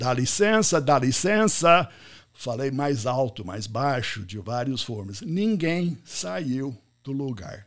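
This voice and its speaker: A man with an American accent speaks at a very slow pace and a medium pitch. His pitch swings very widely, and his loudness shifts in big swings. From US, Pittsburgh. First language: English (speaking Portuguese). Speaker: business podcast host and networking speaker. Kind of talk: live online talk.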